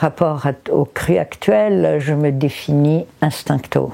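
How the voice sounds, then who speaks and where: Noticeable background noise is present. A woman talks very slowly. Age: 70s. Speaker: raw food practitioner. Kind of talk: testimony. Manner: halting.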